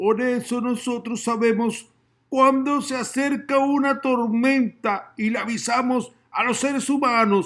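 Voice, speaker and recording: In a put-on character voice, a man talks at a fairly slow pace with an extremely high pitch. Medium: read story. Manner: polite, boastful.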